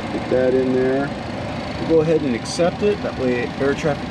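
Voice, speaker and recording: A man at a moderate pace, with a dry sound with no echo and noticeable background noise. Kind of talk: casual vlog chat. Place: plane. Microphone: phone near.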